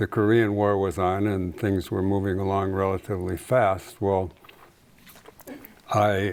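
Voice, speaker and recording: Over noticeable background noise, a man with a fairly low pitch talks at a fairly slow pace. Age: 80s+. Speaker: photographer. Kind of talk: interview.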